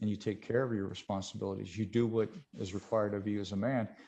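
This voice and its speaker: A man with a dark, mellow tone and fairly low pitch. He speaks in a flat monotone. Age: 50s. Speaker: MMA photographer and fighter interviewer, cancer survivor. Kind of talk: podcast interview. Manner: repetitive, stammering restarts.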